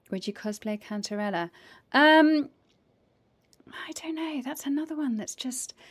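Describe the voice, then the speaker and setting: A woman with an English accent talks at a moderate pace in a high voice, with lively intonation and long, frequent pauses. The recording is very clean, with a silent background. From raised by American parents. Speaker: voice actor and game streamer. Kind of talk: casual chat. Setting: live stream.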